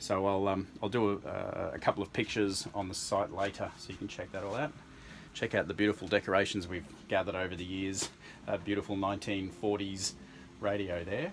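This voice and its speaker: A plain, everyday voice at a fairly quick pace with fairly even intonation, over light background noise. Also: man, fairly low pitch for a man. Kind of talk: tour commentary. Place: home room. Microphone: phone near.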